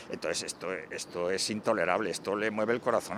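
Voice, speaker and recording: Over noticeable background noise, a man talks at a fairly quick pace with a fairly low pitch. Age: 70s. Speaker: campaigner for elderly bank customers. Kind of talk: news interview. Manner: emphatic.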